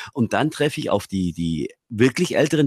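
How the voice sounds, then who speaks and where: Speaking at a moderate pace, a man lets his pitch swing very widely. The sound is dry and close, with no echo. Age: 40s. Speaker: radio presenter and communication coach. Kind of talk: casual chat. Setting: video call.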